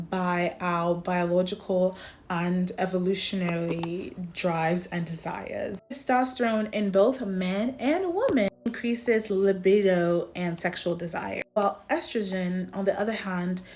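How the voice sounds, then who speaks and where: A woman at medium pitch, with ordinary pitch variation, a fairly slow pace and noticeable background noise. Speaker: psychology educator and content creator. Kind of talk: educational explainer talking to camera.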